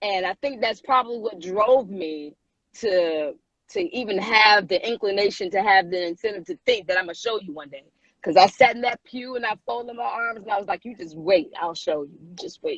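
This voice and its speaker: A woman with an American accent at a medium pitch, lively intonation and big swings in loudness, in a dry, close sound with no echo. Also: moderate pace. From Michigan (Muskegon). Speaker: singer. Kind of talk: interview. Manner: casual, animated.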